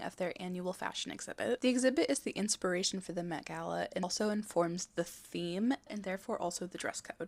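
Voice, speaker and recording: A plain, everyday voice from a woman, medium in pitch, with lively intonation and a fairly quick pace. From Texas. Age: 20s. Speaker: fashion YouTuber. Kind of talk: scripted video essay narration.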